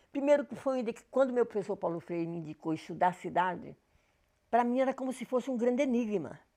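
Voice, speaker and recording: Against a quiet background, a woman talks at a fairly quick pace in a dark, mellow tone, her fairly high pitch swinging very widely. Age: 80s+. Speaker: professor. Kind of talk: personal life story talk.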